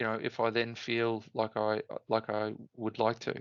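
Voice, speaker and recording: With an Australian accent, a man speaks at a very slow pace and a medium pitch. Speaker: Ironman triathlete. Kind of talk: interview answer. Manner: chatty, funny.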